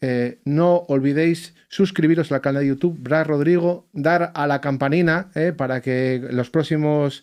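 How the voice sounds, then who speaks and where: Here a man talks with an Asturian accent. His pitch is fairly high, and the background is quiet. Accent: Asturian accent, even in English. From Asturias, Spain. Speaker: musician and podcast host, bagpiper. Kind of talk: casual podcast chat. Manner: animated, informal.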